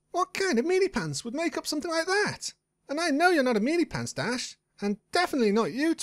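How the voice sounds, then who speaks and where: This put-on character voice is high-pitched and races along at a very fast pace. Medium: read story. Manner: bubbly, fast.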